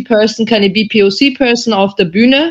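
A woman speaks in a normal speaking voice at a fairly slow pace, her pitch fairly high. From Austria. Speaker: journalist. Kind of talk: panel discussion.

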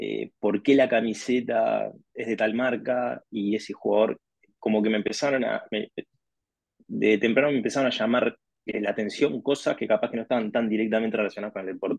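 A man with a Uruguayan accent speaks at a fairly quick pace. His intonation is monotone and flat, with vocal fry. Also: medium pitch for a man. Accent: Rioplatense Spanish (Uruguayan). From Uruguay, Montevideo. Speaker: sports marketing executive. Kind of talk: interview conversation.

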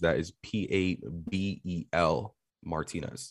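A man speaks at a very deep, low pitch. His intonation is fairly even. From New York City. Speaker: tech marketer and media company owner. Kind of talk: casual interview.

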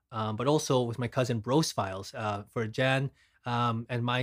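Recorded dry and close with no echo against a silent background on a very clean recording, a man speaks at medium pitch with ordinary pitch variation. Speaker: video content creator. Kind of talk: casual chat. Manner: toned down.

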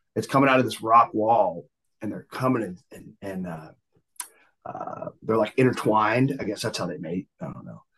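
With a Southern US accent, the speaker moves at a moderate pace and shows ordinary pitch variation. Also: man, big swings in loudness. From US South, Georgia outskirts of Atlanta and Florida. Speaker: singer-songwriter, Navy veteran. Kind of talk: casual chat.

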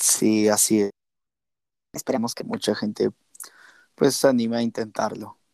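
A man speaks at a medium pitch with a dark, mellow tone and flat, monotone intonation. His pace is fairly slow, broken by long, frequent pauses, and the sound is dry and close with no echo. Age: 20s. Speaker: podcast co-host. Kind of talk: casual chat. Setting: remote recording.

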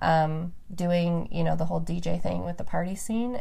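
Amid noticeable background noise and audible room echo, a woman with an American accent speaks at a fairly slow pace. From Reno, Nevada, US West. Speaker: podcast host. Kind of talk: casual chat.

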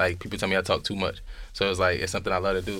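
Speaking at a very fast pace, a man with a very deep, low pitch and a bright, sharp tone comes through in a very clean recording with a silent background. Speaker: podcaster guest. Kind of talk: casual chat. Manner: talkative.

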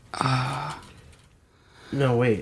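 A man talks in an animated tone, his voice somewhat breathy. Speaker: podcast host. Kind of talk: casual chat. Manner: joking, animated.

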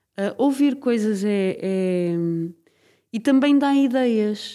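A woman with a fairly high pitch and a dark, mellow tone speaks with lively intonation. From Portugal, Braga. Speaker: radio documentary maker. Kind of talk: casual interview.

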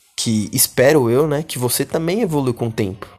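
A man's ordinary speaking voice, fairly high in pitch, at a moderate pace. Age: 20s. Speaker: podcast host. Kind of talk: solo podcast monologue. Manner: casual slangy.

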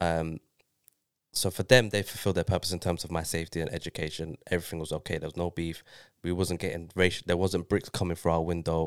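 A man with a London accent, very deep, low pitch and monotone, flat intonation at a fairly quick pace, in a very clean recording with a silent background and a dry, close sound with no echo. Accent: London multicultural English. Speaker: guest. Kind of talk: casual chat.

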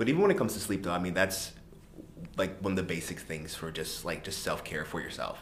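Talking at a very fast pace, a man with a very deep, low pitch uses ordinary pitch variation against noticeable background noise. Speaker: podcast co-host. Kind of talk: casual chat. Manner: animated.

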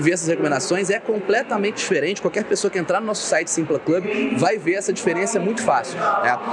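Noticeable background noise surrounds the recording. Over it, a man talks in a high pitch. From Minas Gerais, Brazil (Ubá). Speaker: entrepreneur and investment specialist. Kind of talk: casual interview. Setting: live event.

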